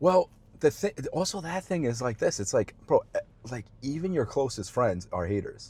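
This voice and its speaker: At a moderate pace, a man speaks in an animated, fairly high voice with vocal fry and very wide pitch swings, recorded with a dry, close sound with no echo. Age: 30s. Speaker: podcast host. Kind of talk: casual chat.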